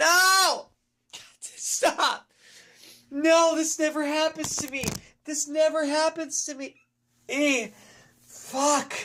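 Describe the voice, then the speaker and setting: A woman's high voice is raised and projected, with big swings in loudness and ordinary pitch variation. She speaks at a very slow pace with long, frequent pauses. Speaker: gaming streamer. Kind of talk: live gameplay commentary. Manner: halting; animated.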